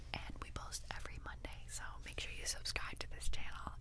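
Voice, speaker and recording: Loud background noise accompanies a woman talking at a fairly quick pace. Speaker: member of a sister girl band and vlogger. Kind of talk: casual talk to camera. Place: studio. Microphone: studio mic.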